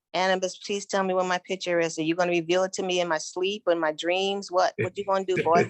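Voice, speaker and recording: A woman at a medium pitch rushes along at a very fast pace with hardly any pauses, monotone and flat, in a dry, close sound with no echo. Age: 60s. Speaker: client. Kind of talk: casual chat.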